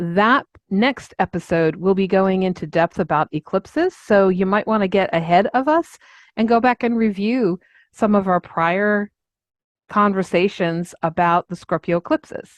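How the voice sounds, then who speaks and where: A woman with an ordinary speaking voice and an American accent talks at a moderate pace, with medium pitch and ordinary pitch variation, in a dry, close sound with no echo over a quiet background. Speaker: astrologer podcast co-host. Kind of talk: podcast discussion.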